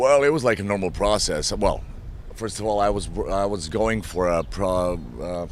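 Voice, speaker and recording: A man with a fairly low voice talks at a moderate pace with ordinary pitch variation, and audible room echo surrounds him. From Eastern Europe. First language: Slavic language. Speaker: actor. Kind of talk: press interview.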